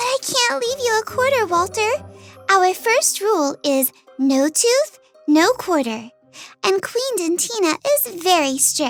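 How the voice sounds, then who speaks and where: In a put-on character voice, a female-sounding speaker goes extremely high with very wide pitch swings at a fairly slow pace over faint background music. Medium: read story. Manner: earnest.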